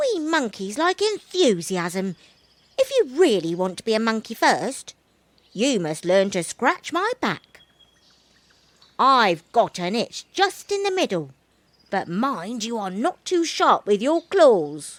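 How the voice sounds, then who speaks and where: A woman speaks in a put-on character voice, fairly slowly. Her pitch sits fairly high and swings very widely. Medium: read story. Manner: sly, laid-back, teasing.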